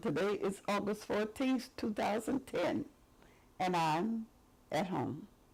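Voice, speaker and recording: In a Mississippi accent, a woman speaks very slowly in a fairly high, somewhat breathy voice with lively intonation. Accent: Southern US (Mississippi). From Jackson, Mississippi. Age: 80s+. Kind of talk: oral history interview answer. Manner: hesitant, conversational.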